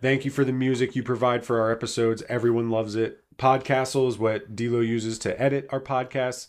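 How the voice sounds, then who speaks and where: An unremarkable speaking voice moves at a fairly quick pace. The intonation is fairly even, and the background is quiet. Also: man, medium pitch for a man. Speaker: podcast co-host. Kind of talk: casual chat.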